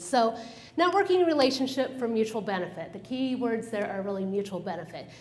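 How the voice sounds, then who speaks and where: Amid noticeable background noise and audible room echo, a woman speaks fairly quickly at a medium pitch with lively intonation. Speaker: business consultant giving a talk. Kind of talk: presentation to a professional group. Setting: room with live audience, using a microphone. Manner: fast when excited; animated.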